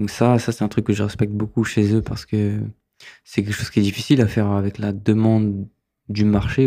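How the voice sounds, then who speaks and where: The voice has a dark, mellow tone and a monotone, flat intonation at a moderate pace. The recording is very clean, with a silent background. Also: man. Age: 30s. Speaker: filmmaker and photographer. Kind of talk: interview. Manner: halting.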